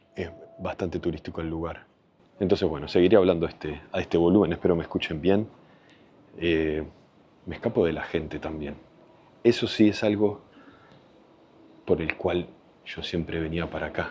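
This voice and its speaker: A man speaks quietly at a moderate pace, his very deep, low pitch carrying a dark, mellow tone. His intonation is fairly even, with long, frequent pauses. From Argentina, Buenos Aires. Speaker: travel vlogger. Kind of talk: travel vlog. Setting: outdoors in a cemetery. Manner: speaking quietly.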